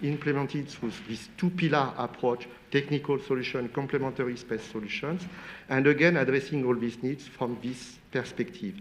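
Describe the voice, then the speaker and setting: A man with a French accent, at a moderate pace. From France. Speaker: space industry expert on panel. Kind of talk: panel debate.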